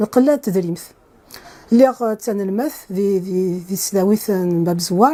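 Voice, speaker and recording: A woman with an Algerian accent speaks at a very slow pace. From Kabylie, Algeria. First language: Kabyle (speaking French). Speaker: computer science professor. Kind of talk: interview. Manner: hesitant with fillers.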